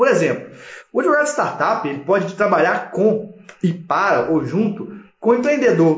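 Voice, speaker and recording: A man's lively intonation comes through audible room echo and noticeable background noise. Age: 30s. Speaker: lawyer and startup law educator. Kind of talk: live stream talk to viewers. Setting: live stream.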